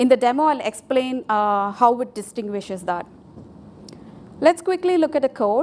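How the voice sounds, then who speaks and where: A woman's high voice in a Tamil accent, with lively intonation. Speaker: software developer, conference speaker. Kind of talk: conference tech talk with live demo. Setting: stage with audience.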